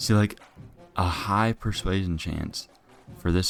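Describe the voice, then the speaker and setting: A quiet man at a fairly slow pace with ordinary pitch variation, music playing in the background. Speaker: gaming YouTuber. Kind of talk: gameplay commentary. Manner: casual.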